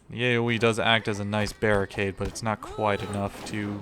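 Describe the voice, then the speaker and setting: Over music in the background, a man speaks at a fairly low pitch and a moderate pace in a monotone, flat intonation. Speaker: gaming streamer. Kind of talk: casual gameplay commentary. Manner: slightly slurred. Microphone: new microphone.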